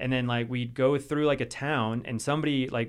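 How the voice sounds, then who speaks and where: Talking at a very fast pace, a man has an American accent. His pitch is medium and his intonation fairly even. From US South, western North Carolina. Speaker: adaptive mountain athlete. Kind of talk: casual interview chat. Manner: casual, filler-heavy.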